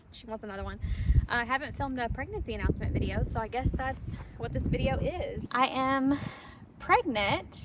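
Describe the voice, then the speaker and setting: Over noticeable background noise, a woman talks at a fairly quick pace with big swings in loudness. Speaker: horse-owning vlogger. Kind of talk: casual vlog talk.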